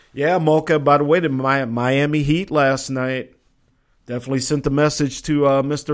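An American-accented man speaks at a fairly high pitch and a fairly slow pace. His intonation is monotone and flat. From Minnesota. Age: 40s. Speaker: sports talk radio host. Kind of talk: casual live sports talk show.

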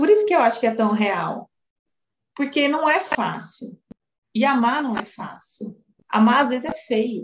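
A woman speaks at a high pitch in an animated tone with lively intonation and a strong Goiás accent. Her pace is fairly slow, broken by long, frequent pauses. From Goiás, Brazil. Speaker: psychologist and novelist. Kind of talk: casual chat. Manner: talkative, animated.

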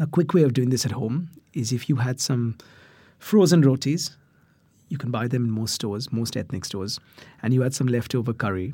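Somewhat breathy, the voice runs at a fairly quick pace with long, frequent pauses and ordinary pitch variation, on a very clean recording with a silent background. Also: man, medium pitch for a man. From India. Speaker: chef and cookbook author. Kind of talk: casual interview giving cooking tips.

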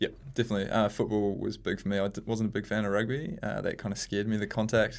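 A man talks at a very fast pace with a New Zealand accent. He leaves hardly any pauses. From New Zealand, rural Hamilton (Waikato). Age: 20s. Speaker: national team hockey captain. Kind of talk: interview. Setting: studio.

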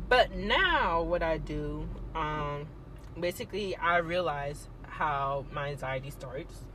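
A woman speaks very slowly while background noise is clearly audible. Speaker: guest discussing anxiety. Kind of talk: casual chat. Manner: stumbles over words.

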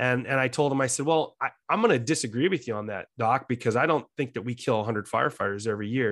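Against a quiet background, a man of medium pitch speaks at a very fast pace with hardly any pauses. His pitch varies in an ordinary way. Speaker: fire battalion chief. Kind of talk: interview.

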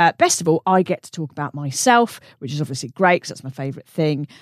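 Speaking very fast with very wide pitch swings, a woman with a British accent comes through a very clean recording with a silent background and a dry, close sound with no echo. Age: 40s. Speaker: comedian and podcast host. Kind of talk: casual chat.

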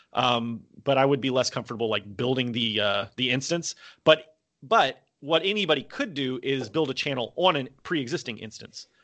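A man speaks with an American accent at a moderate pace. His pitch is medium, with ordinary variation. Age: 30s. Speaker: political YouTuber. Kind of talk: casual interview.

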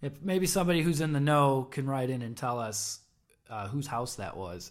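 This is an unremarkable speaking voice with an American accent. It moves at a moderate pace with lively intonation. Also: man. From Chicago suburbs. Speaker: podcast co-host. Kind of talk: casual interview chat.

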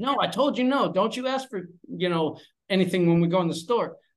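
The speaker is a man. His intonation is lively. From Pennsylvania, US. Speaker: English teacher and father. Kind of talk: casual interview chat.

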